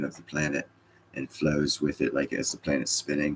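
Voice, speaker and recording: A man is speaking here. He keeps a moderate pace. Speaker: livestreamer. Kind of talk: casual chat.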